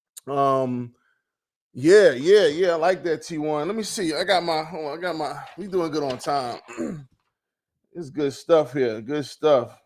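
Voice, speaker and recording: A man with a fairly high pitch and an American accent speaks at a fairly slow pace, with ordinary pitch variation. He leaves long, frequent pauses, and his loudness swings widely. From New York, Brooklyn. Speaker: podcast host. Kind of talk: casual interview chat. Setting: live stream.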